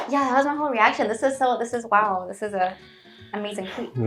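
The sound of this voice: Someone talks at a very fast pace in an American accent. Music plays in the background. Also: woman, fairly high pitch for a woman, ordinary pitch variation.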